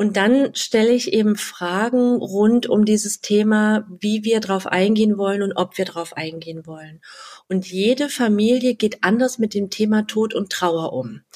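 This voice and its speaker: Speaking at a moderate pace, a woman uses fairly high pitch with ordinary pitch variation. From Halle (Saxony-Anhalt), eastern Germany. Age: 30s. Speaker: wedding and funeral speaker. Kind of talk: interview.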